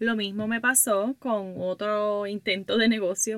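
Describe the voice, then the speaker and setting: Very slowly, a woman speaks at a medium pitch in a bright, sharp tone. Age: 20s. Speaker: podcaster and workshop leader for women entrepreneurs. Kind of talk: casual monologue. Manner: animated.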